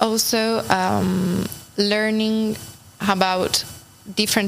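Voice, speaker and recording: In monotone, flat intonation, a woman talks while noticeable background noise plays. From Italy, Turin. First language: Italian (speaking French). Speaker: international volunteer. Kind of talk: interview.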